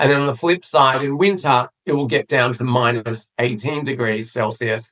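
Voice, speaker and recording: A man speaks with an Australian accent and ordinary pitch variation, his voice dry and close with no echo. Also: medium pitch for a man, moderate pace. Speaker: PR agency founder. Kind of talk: interview. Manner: hesitant fillers.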